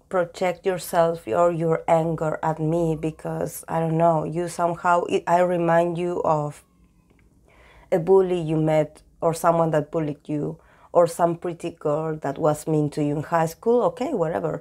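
A woman with a Spanish accent, fairly low in pitch, with a dark, mellow tone. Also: fairly even intonation, fairly slow pace. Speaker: tarot reader. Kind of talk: tarot reading talk to camera.

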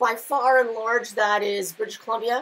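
A woman talks at a moderate pace in a fairly high pitch, with fairly even intonation and a fairly bright tone.

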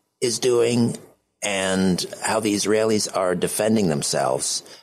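A man speaks with a Canadian accent. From Canada. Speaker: radio host. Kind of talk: radio interview. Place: studio.

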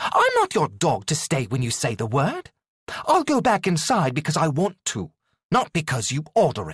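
Putting on a character voice, a man speaks at a moderate pace with a fairly high pitch, very wide pitch swings and a hissing quality. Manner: hissing, defiant.

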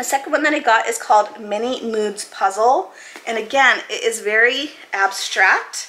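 Her pitch is fairly high for a woman, with ordinary pitch variation. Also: moderate pace. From Maine, US. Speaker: YouTuber; puzzle hobby youtuber. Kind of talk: casual product haul video; casual haul vlog chat. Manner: casual, filler-heavy. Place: home room.

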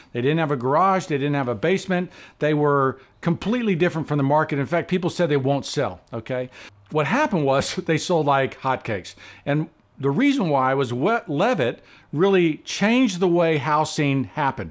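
Lively intonation marks a man's fairly quick speech. Behind him the background stays quiet. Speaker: interviewee. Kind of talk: interview answer. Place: home room.

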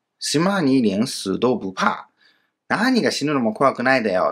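A man speaks fairly slowly in a bright, sharp tone with very wide pitch swings, on a very clean recording with a silent background. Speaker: Chinese language teacher. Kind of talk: grammar lesson.

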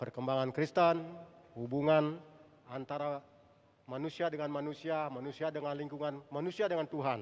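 This man talks at a fairly quick pace. His pitch is fairly high and his intonation fairly even. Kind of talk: speech at church anniversary. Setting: church with audience. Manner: halting, many fillers. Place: church. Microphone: handheld.

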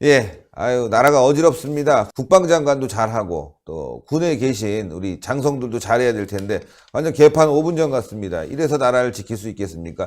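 The voice moves at a moderate pace with hardly any pauses, big swings in loudness and very wide pitch swings, all on a very clean recording with a silent background. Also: man, medium pitch for a man. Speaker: political YouTube show host. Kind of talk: political commentary interview.

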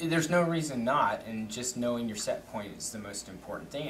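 A man at a fairly quick pace with very wide pitch swings, over noticeable background noise. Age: 50s. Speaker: company executive. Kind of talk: casual interview chat. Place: meeting room.

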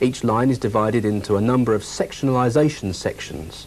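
A man with a plain, everyday voice at a medium pitch. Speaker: film narrator. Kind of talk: vintage corporate training film narration. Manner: formal, measured, earnest instructional delivery; steady, even-paced, authoritative.

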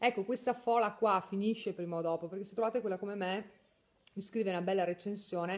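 It's a plain, everyday voice from a woman at medium pitch. Her intonation stays fairly even. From northern Italy, Mantua; northern Italy. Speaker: beauty salon owner and trainer; trainer. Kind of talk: live stream chat. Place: home room. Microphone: phone near.

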